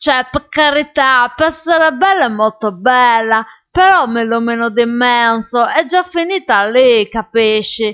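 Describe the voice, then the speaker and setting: A woman speaks at a high pitch in a pompous tone. Her intonation is lively and her pace fairly slow. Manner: mock-pompous, lecturing, fussy and rambling, with comic self-importance and digressions.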